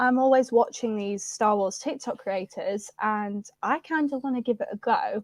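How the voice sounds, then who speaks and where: A northern English accent in a dry, close sound with no echo. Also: woman. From northern England, Preston, Lancashire. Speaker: social media creator. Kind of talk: casual chat.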